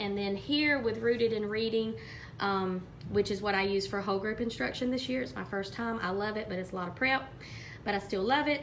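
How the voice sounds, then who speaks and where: Over audible room echo, a woman with an Alabama accent talks at a fairly quick pace and a medium pitch. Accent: US Southern (Alabama). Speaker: third grade teacher. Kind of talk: teaching vlog.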